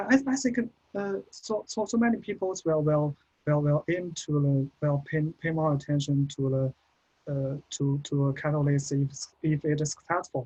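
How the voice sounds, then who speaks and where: In a somewhat breathy, dark, mellow tone, a man speaks at a moderate pace with a fairly high pitch and ordinary pitch variation. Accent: Chinese. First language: Chinese. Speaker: postgraduate researcher. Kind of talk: Q&A after presentation. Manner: halting, many repetitions.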